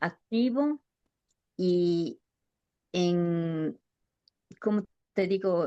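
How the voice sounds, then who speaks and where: Speaking very slowly with long, frequent pauses, a woman has a fairly low pitch and a dark, mellow tone. Her intonation is lively, and the sound is dry and close with no echo. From Ecuador. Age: 70s. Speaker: nurse and midwife. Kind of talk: interview answer.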